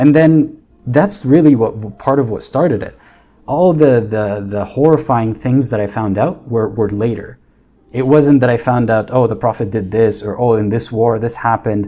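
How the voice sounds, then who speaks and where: This man's voice sits at a medium pitch with a dark, mellow tone. He moves at a moderate pace with ordinary pitch variation. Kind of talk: casual livestream talk. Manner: stuttering, halting.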